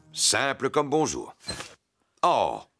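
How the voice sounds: A man's cartoonish character voice at medium pitch, with very wide pitch swings, vocal fry and a slow pace, over faint background music. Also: fairly bright tone.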